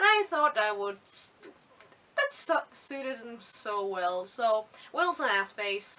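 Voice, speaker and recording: A woman's fairly high voice, very slow with long, frequent pauses and lively intonation, over noticeable background noise. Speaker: book reviewer. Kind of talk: casual video review. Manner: animated.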